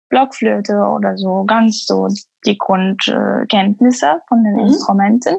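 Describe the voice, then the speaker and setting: A woman with an Arabic accent speaks very slowly. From Syria, Damascus. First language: Arabic (speaking German). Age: 20s. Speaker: musician and music teacher. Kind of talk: casual interview chat. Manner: halting, many fillers.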